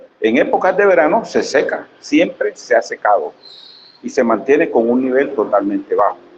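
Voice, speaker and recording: A man talks at a moderate pace with very even loudness. Noticeable background noise runs underneath. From Colombian Caribbean, Sucre (Sucre), La Mojana. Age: 60s. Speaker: community leader, audience member. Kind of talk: audience question and comment at academic seminar.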